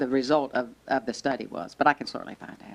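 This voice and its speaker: A woman speaking at a very fast pace. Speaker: school board chair presenting. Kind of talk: public meeting presentation.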